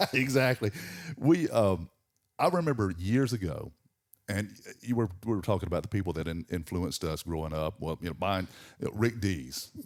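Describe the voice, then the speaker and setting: Recorded very cleanly against a silent background, a man with a Southern US accent speaks at a moderate pace and a fairly low pitch, with lively intonation and long, frequent pauses. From Georgia, US South. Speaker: morning radio host. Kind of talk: casual chat. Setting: studio. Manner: halting.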